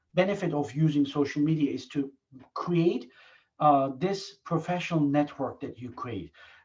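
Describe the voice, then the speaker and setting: A man talks at a moderate pace in a somewhat breathy voice, his loudness swinging widely. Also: fairly high pitch for a man, ordinary pitch variation. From Turkey. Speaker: professor. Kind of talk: Q&A discussion.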